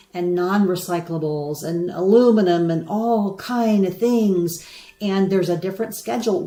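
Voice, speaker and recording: Speaking with an American accent at medium pitch, a woman keeps a moderate pace and ordinary pitch variation over noticeable background noise. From United States. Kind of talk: live stream talk to viewers. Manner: casual, chatty.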